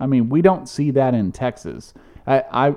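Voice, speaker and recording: A man speaks at a moderate pace with ordinary pitch variation in an unremarkable speaking voice. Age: 40s. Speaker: podcast co-host. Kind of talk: casual chat.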